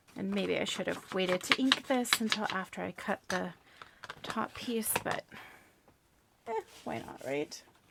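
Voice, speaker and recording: Mumbling, a woman speaks at a fairly slow pace with long, frequent pauses. Noticeable background noise sits behind her. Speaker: crafting vlogger. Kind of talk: casual crafting chat. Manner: calm, unhurried.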